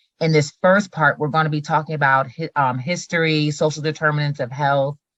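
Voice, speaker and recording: A woman with an American accent talks fairly quickly in a very deep, low voice, flat and monotone, recorded dry and close with no echo. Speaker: presenter on school mental health. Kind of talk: presentation / lecture.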